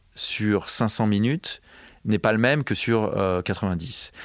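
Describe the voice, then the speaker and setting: This is a man with a normal speaking voice, fairly low in pitch. His pitch variation is ordinary, in a dry, close sound with no echo. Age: 40s. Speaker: film composer. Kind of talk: interview. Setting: studio.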